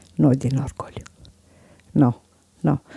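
A woman at a fairly slow pace, her sound dry and close with no echo. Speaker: guest's mother. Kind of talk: interview.

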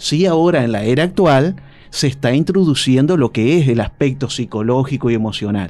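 A man with an unremarkable speaking voice talks at a medium pitch and a moderate pace, with lively intonation and very even loudness. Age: 40s. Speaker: psychologist. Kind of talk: radio interview.

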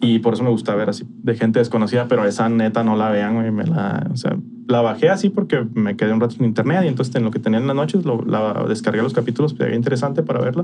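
Over noticeable background noise, a man with a Mexican accent and medium pitch speaks at a very fast pace with hardly any pauses. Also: ordinary pitch variation. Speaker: podcast co-host. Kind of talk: casual chat.

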